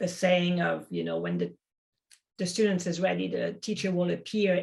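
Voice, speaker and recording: In a French accent, a woman speaks at a moderate pace. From French-speaking. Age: 50s. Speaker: acupuncturist and Chinese medicine teacher. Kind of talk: podcast interview.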